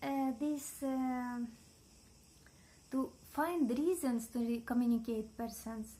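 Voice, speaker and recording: A woman with a high pitch and a dark, mellow tone speaks at a very slow pace with fairly even intonation. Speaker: vlogger. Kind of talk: casual vlog talk to camera. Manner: halting, many fillers and restarts.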